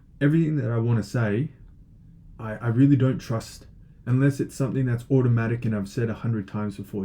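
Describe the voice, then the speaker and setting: Somewhat breathy and dark, mellow in tone, a man's voice moves at a fairly quick pace. His pitch varies in an ordinary way. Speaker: online teacher of logic. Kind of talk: lecture. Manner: hesitant, many fillers.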